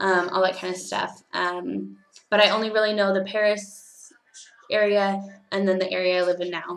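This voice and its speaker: Her voice is at a medium pitch, in a Californian accent. The woman speaks at a moderate pace with monotone, flat intonation. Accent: Californian American English. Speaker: teaching assistant and au pair vlogger. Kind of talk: casual vlog monologue. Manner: hesitant, many fillers.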